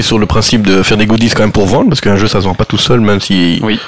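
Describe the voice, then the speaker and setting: A man's fairly low voice at a very fast pace, hardly any pauses, fairly even intonation, very even loudness, and noticeable background noise. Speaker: board game publisher. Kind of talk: casual chat.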